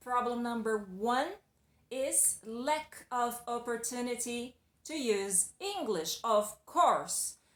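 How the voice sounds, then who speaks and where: The speaker talks at a very slow pace with a Brazilian accent. The intonation is lively. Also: woman. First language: Portuguese. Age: adult. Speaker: English teacher. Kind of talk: video lesson. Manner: casual, conversational.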